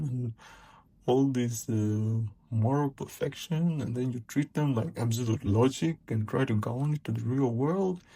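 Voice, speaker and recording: A man's dark, mellow, somewhat breathy voice, medium in pitch, with lively intonation at a fairly slow pace. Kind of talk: personal commentary monologue. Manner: hesitant, many filler words.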